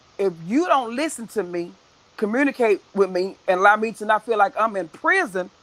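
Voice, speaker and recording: A woman's animated tone with lively intonation at a moderate pace, against noticeable background noise. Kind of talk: casual chat. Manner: loud.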